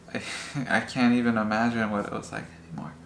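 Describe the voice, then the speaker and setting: A man talks at a fairly quick pace with fairly even intonation. Noticeable background noise runs under his voice. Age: 20s. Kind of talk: interview answer.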